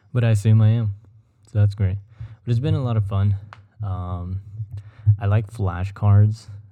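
With a dark, mellow tone and a fairly low pitch, a man talks in a somewhat breathy, monotone, flat way, leaving long, frequent pauses. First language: Spanish. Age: 20s. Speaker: podcast host. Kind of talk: solo casual podcast. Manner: rambling with filler words.

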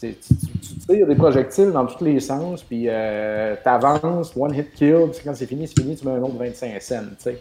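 A man in a Quebec accent talks at medium pitch and a moderate pace with ordinary pitch variation. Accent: Québécois French. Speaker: video game podcast co-host. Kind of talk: casual chat.

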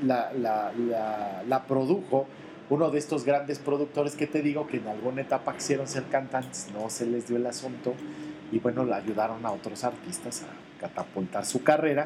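Someone with a Mexican accent speaks at a moderate pace over noticeable background noise. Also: man. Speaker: podcast co-host. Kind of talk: casual chat.

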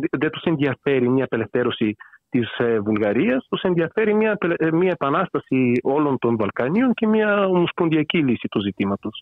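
This man has a fairly high pitch and a Bulgarian accent. His pitch swings very widely. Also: moderate pace. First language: Bulgarian (speaking Greek). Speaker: author on political theory. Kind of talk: interview. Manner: hesitant, with fillers.

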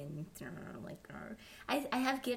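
A woman's somewhat breathy, fairly high voice with lively intonation. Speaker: podcast host. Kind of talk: casual interview chat.

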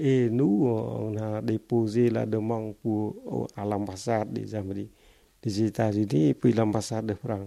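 Fairly low-pitched and dark, mellow in tone, this man's voice moves at a fairly slow pace with fairly even intonation in a very clean recording with a silent background. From Cambodia. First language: Khmer (speaking French). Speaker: refugee and former literature teacher. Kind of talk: life-story testimony interview. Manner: halting, with many repetitions.

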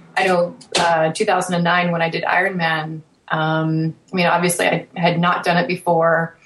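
With noticeable background noise, a woman talks in a Canadian accent, her fairly low pitch carried by a monotone, flat intonation. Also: fairly slow pace, very even loudness. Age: 30s. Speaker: triathlete, podcaster. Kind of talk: casual panel chat.

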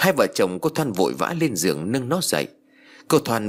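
The speaker does a plain reading aloud.

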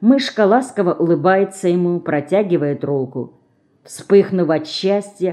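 Someone reads aloud plainly, and the pitch varies in an ordinary way.

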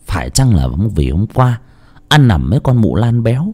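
Reading in a natural reading voice.

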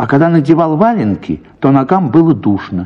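A man speaks at a moderate pace. His voice sits fairly high in pitch.

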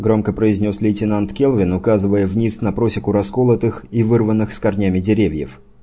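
Intonation remains fairly even. The delivery is plain reading aloud.

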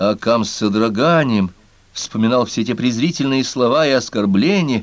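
Lively intonation carries through an unforced reading voice.

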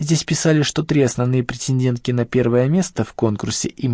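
The recording presents an unforced reading voice.

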